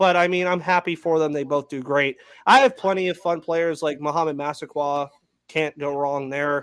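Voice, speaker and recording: This man has a normal speaking voice, fairly high in pitch, with fairly even intonation at a moderate pace. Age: 20s. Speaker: sports podcast host. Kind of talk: casual chat.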